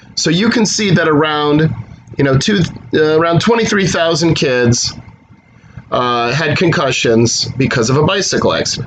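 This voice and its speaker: A man speaks with a fairly high pitch and lively intonation, with noticeable background noise and audible room echo. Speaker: math instructor. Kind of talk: recorded lecture. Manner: fast; casual.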